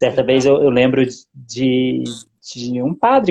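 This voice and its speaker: A man's voice at medium pitch. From Zona da Mata, Minas Gerais, Brazil. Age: 40s. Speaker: business administrator and lay church minister. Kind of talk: interview. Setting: Instagram live stream. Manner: halting, with many fillers.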